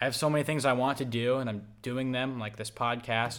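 A man's upbeat, enthusiastic tone at a medium pitch, moving at a fairly quick pace. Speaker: podcast host. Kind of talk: casual podcast conversation.

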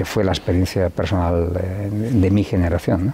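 Over noticeable background noise, a man speaks at a moderate pace in a very deep, low voice with fairly even intonation. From Spain, León (Riaño). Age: 60s. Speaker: businessman. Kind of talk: interview. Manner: halting, many fillers and repetitions.

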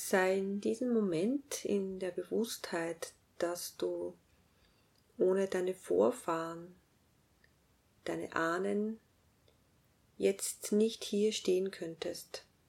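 A woman with a medium-pitched voice and ordinary pitch variation talks in a calm, soothing tone at a very slow pace, leaving long, frequent pauses. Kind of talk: guided meditation. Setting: music plays in background. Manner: slow, calm, soothing, with long pauses; gentle, directive, hushed and unhurried.

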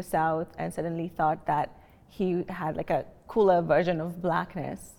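A woman speaks with a Kenyan accent. Her tone is dark and mellow. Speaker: healthcare analyst, panelist. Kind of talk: panel discussion. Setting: library reading room, filmed.

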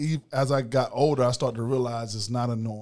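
A man speaks in an unremarkable speaking voice. His pitch is medium and his pace moderate. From US South, Macon, Georgia. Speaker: former college football player. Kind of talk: interview.

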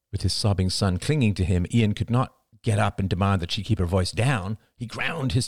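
Against a quiet background, plain reading aloud comes with ordinary pitch variation.

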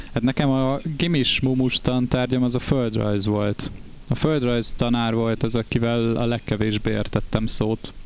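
A man's unremarkable speaking voice at a medium pitch, fairly slow pace, fairly even intonation and very even loudness. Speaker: band member and podcast co-host. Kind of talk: casual chat.

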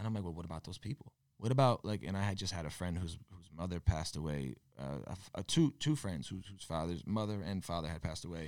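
Very fast and lively in intonation, a man's very deep, low voice comes through a very clean recording with a silent background. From Connecticut (Torrington). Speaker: musician. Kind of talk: casual chat. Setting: gym.

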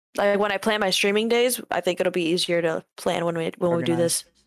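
A woman speaks at a moderate pace with fairly even intonation. The sound is dry and close with no echo. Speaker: podcast co-host, aspiring streamer.

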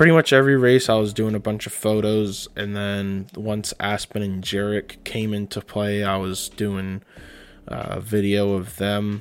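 An ordinary speaking voice from a man, fairly low in pitch, at a moderate pace with fairly even intonation. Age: 20s. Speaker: podcast host. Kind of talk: casual monologue.

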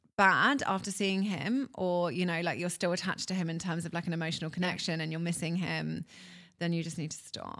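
With a British accent, a woman speaks at a fairly quick pace. Her pitch is fairly low and her intonation fairly even. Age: 30s. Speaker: reality TV contestant and former nurse. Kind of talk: casual interview chat. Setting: in person, in Dubai.

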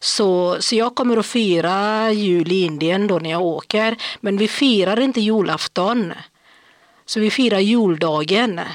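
At a fairly slow pace, a woman speaks in a normal speaking voice at medium pitch, with ordinary pitch variation and very even loudness, on a very clean recording with a silent background. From India. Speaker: podcast guest, day-activity worker. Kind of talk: casual chat.

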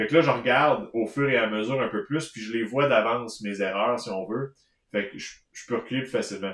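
A man talks at a fairly quick pace in a Quebec accent. His loudness swings widely. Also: medium pitch for a man, ordinary pitch variation. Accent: Québécois French. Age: 30s. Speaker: knitting podcast co-host. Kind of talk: casual chat. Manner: halting.

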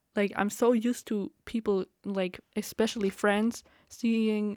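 A woman's plain, everyday voice, fairly high in pitch, with fairly even intonation and a dry, close sound with no echo. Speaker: podcaster. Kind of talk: casual solo rambling. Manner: rambling, filler-heavy, laughs often.

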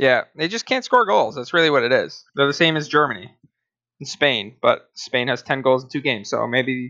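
A man with a normal speaking voice and a fairly high pitch talks at a moderate pace. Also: ordinary pitch variation. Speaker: podcast host. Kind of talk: casual chat.

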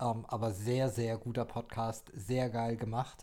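A man's dark, mellow voice at a very slow pace, on a very clean recording with a silent background. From Baden-Württemberg, Germany (Heidelberg). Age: 20s. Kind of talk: casual chat. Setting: small home desk studio.

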